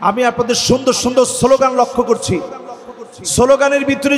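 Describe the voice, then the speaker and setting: Over noticeable background noise, a man speaks in an extremely high pitch with monotone, flat intonation. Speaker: Islamic preacher. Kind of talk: religious sermon to a large outdoor crowd. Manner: fiery, rousing.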